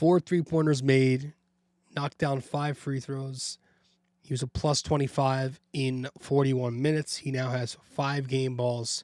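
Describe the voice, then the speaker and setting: A man speaks at a fairly slow pace, his medium pitch delivered with monotone, flat intonation. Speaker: basketball podcast host. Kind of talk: casual sports podcast monologue. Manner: casual, filler-heavy.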